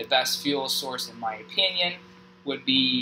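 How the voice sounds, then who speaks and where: The intonation here is lively. Noticeable background noise runs underneath. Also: man. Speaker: gaming youtuber. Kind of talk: gameplay tutorial. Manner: slow; halting.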